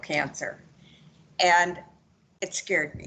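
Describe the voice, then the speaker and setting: At a moderate pace, a woman speaks with a bright, sharp tone and a fairly low pitch. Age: 70s. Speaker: patient. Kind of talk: testimony.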